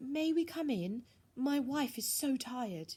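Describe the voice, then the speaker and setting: A woman speaks slowly in a high, shaky put-on character voice, her intonation lively. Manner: weary, pleading.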